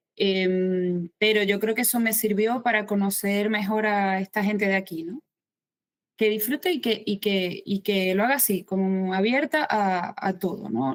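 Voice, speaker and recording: A woman with a Maracaibo accent talks at a medium pitch and a fairly slow pace with ordinary pitch variation. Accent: Venezuelan (Maracaibo) accent kept. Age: 50s. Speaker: writer. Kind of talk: interview.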